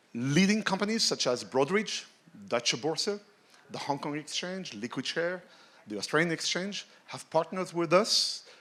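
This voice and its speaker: With a French accent, a man speaks in a bright, sharp tone at a fairly high pitch, his voice swinging very widely up and down. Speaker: tech executive, conference speaker. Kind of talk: keynote talk.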